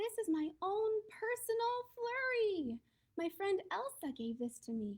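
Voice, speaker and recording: Putting on a squeaky character voice, a woman speaks fairly slowly at an extremely high pitch, bubbly and enthusiastic, with very wide pitch swings. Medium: read story. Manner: bubbly, enthusiastic.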